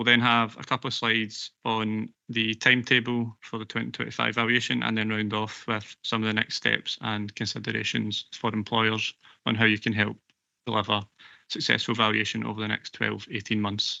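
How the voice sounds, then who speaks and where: In a Glaswegian accent, a man speaks with a fairly low pitch and a monotone, flat delivery. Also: moderate pace. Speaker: pension actuarial consultant. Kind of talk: presentation at a council committee meeting. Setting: council committee meeting broadcast live.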